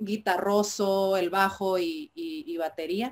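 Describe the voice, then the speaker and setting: The woman's voice sits at a medium pitch. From Mexico, Tijuana. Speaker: indie rock musician. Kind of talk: interview. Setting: video call. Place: home room.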